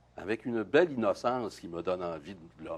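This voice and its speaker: This man speaks with a Quebec accent. His pitch is very deep and low. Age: 60s. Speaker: playwright and poet. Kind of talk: interview. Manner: halting, many hesitations.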